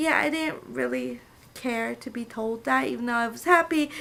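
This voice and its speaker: The speaker is a woman with an American accent. She keeps a moderate pace. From California, US. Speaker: assistant language teacher, vlogger. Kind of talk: casual vlog monologue.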